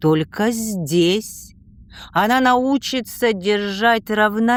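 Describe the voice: The pitch rises and falls in an ordinary way. It is plain reading aloud.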